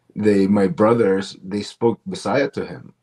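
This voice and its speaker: With a normal speaking voice, a man talks at a fairly slow pace and a fairly low pitch. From Canada, Toronto (Filipino parents). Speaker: comedian. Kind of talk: interview.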